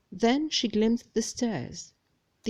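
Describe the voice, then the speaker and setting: Speaking at a fairly slow pace with a non-native accent, a woman uses a fairly high pitch and ordinary pitch variation on a very clean recording with a silent background. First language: non-native English speaker. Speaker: amateur audiobook reader. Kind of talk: read-aloud fantasy novel chapter.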